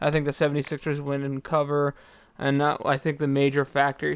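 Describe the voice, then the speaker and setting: A man with an American accent speaks at a moderate pace in a normal speaking voice with a fairly high pitch. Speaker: sports betting commentator. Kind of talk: casual sports picks commentary.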